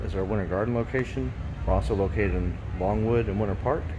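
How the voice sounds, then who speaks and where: A man speaks at a fairly low pitch. Noticeable background noise sits behind him. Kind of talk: tutorial. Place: garage. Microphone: phone near.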